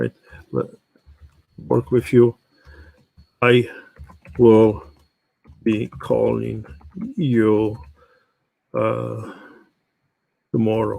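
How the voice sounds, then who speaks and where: The speaker has a non-native accent and talks at a very slow pace. Long pauses come often. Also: man. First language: not English. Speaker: real estate automation trainer. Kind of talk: live workshop tutorial. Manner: halting.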